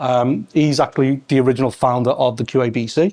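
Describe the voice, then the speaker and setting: With a Scouse accent and fairly even intonation, a man talks in a dry, close sound with no echo. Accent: Scouse (Liverpool English). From Liverpool, England. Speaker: test lead and meetup host. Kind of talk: event introduction to live audience. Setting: event space with audience. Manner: fast; hesitant, many fillers.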